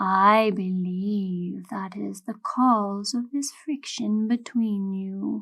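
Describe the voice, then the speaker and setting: In a put-on character voice, a female-sounding speaker goes at a very slow pace with a medium pitch. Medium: read story. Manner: formal, measured.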